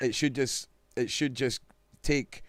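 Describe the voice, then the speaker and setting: Someone speaks with a Scottish accent at a moderate pace. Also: man. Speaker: live stream host. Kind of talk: casual chat. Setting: live stream video call. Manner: loud.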